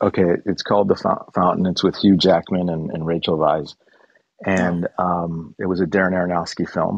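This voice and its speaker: Speaking with a Chicago accent, a man uses a very deep, low pitch and monotone, flat intonation at a moderate pace. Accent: American, Chicago. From US Midwest, Chicago. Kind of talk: casual chat.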